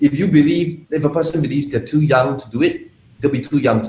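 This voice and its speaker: Somewhat breathy, a man with a Malaysian accent speaks at a fairly high pitch. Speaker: internet marketer. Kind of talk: interview.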